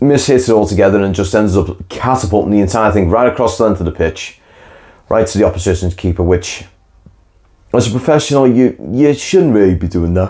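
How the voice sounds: Dark and mellow in tone, a man's fairly low voice moves with ordinary pitch variation.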